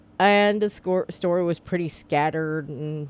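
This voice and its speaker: Her pitch fairly low, a woman speaks with lively intonation. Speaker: book reviewer. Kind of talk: casual book review vlog. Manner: halting, stumbling.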